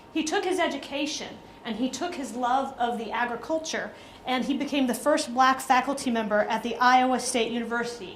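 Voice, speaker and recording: Through noticeable background noise and audible room echo, a woman speaks at a high pitch with an American accent. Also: ordinary pitch variation, fairly quick pace. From US South, Atlanta, Georgia. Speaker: diplomat. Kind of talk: speech.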